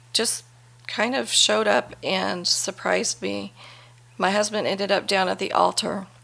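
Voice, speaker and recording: In a very clean recording with a silent background, a woman with an American accent speaks in a bright, sharp tone with vocal fry. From Las Vegas, Nevada. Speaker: churchgoer sharing testimony. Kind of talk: testimony.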